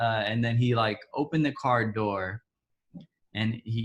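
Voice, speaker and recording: A man's somewhat breathy voice sits at a medium pitch, keeping fairly even intonation at a moderate pace. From Texas, Dallas (born in Ethiopia). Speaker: interviewee sharing personal story. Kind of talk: testimony. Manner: halting.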